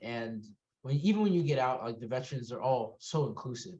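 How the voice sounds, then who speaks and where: With a dark, mellow tone that is somewhat breathy, a man talks at a fairly quick pace and with lively intonation. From Puerto Rican heritage. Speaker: podcast co-host; military veteran. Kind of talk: casual chat. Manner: halting, many repetitions.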